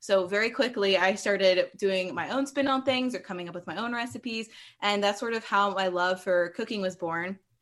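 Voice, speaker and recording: A woman's plain, everyday voice at a medium pitch, with ordinary pitch variation, a fairly quick pace and a quiet background. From US East Coast, Maryland (near Baltimore). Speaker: cookbook author and food blogger. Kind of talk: casual interview.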